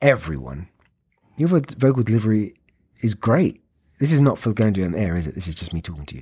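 With a dark, mellow tone, a man speaks at a fairly quick pace in a fairly low voice that swings very widely in pitch. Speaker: actor. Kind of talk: casual chat.

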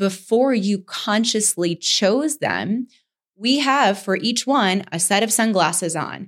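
On a very clean recording with a silent background, a woman talks at a fairly slow pace. She has an ordinary speaking voice with ordinary pitch variation. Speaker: podcast co-host. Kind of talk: educational podcast discussion.

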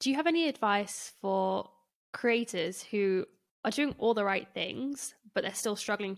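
With a plain, everyday voice, a woman speaks at a moderate pace and medium pitch, her intonation lively. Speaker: podcast host. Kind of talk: casual interview.

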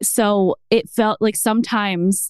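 A woman with an American accent, dry and close with no echo, music playing in the background. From US East Coast. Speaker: mom content creator. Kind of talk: casual chat. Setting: at home.

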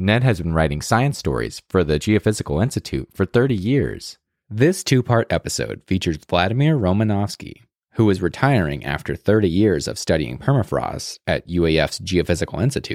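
A man's very deep, low voice with vocal fry and very wide pitch swings at a fairly quick pace, dry and close with no echo on a very clean recording with a silent background. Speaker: podcast announcer. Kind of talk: scripted intro and outro.

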